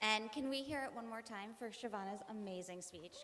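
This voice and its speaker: A woman talks at a moderate pace, her words echoing audibly off the room. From Vermont. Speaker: graduating student speaker. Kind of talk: commencement speech. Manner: occasional stumbles and restarts.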